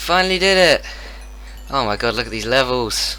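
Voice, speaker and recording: A man is speaking. Background noise is noticeable. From Britain. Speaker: gaming content creator. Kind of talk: casual gaming commentary. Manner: excited, shouting.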